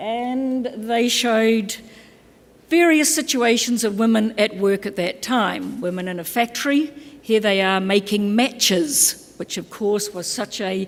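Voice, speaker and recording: In a New Zealand accent, a woman speaks with a fairly high pitch and ordinary pitch variation. Her pace is fairly slow. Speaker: keynote speaker, labour organisation specialist. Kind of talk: conference keynote address. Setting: conference stage with audience.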